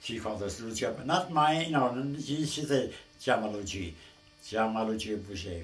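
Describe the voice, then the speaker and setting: With audible room echo and noticeable background noise, a man of medium pitch talks at a moderate pace with lively intonation. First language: Abruzzese dialect of Italian. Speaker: family elder telling a story. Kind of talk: oral history storytelling. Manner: halting.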